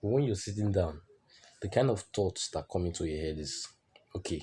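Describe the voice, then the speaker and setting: On a very clean recording with a silent background, a man talks in a somewhat breathy voice with a dark, mellow tone and ordinary pitch variation. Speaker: self-improvement vlogger. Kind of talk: motivational monologue.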